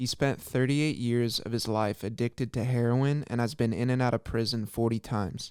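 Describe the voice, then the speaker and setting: A plain, everyday voice, from a man at medium pitch with fairly even intonation, fairly quick and with hardly any pauses, on a very clean recording with a silent background. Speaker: podcast interviewer. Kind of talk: introduction read.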